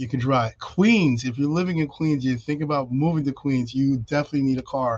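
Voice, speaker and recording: Speaking with a New York accent, a man talks at a fairly quick pace in a fairly high voice with ordinary pitch variation. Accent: New York City. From New York City (Brooklyn). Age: 50s. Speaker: realtor. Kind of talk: interview on a video podcast. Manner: fast.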